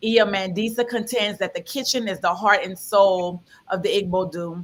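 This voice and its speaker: A woman with a medium pitch at a moderate pace, with ordinary pitch variation. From New Orleans. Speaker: panel moderator. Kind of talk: panel introduction and moderation.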